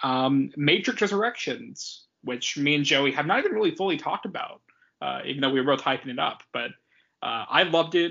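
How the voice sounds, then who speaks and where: Speaking at a fairly quick pace, a man has a plain, everyday voice with a fairly high pitch. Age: 20s. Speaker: podcast co-host. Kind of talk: casual chat.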